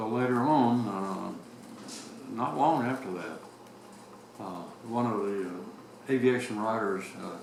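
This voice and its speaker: A man at medium pitch speaks at a fairly slow pace with ordinary pitch variation. Audible room echo and noticeable background noise accompany him. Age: 90s. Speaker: retired navy captain. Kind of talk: oral history interview. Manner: halting.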